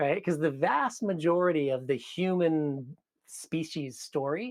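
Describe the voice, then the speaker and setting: A fairly high-pitched male voice at a fairly slow pace, with ordinary pitch variation. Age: 60s. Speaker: wellness movement coach. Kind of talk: podcast interview. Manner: animated.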